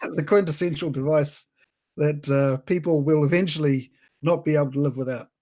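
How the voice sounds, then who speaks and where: Speaking at a fairly quick pace with an Australian accent, a man uses a dark, mellow tone at a fairly high pitch. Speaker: podcast co-host. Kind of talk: casual chat.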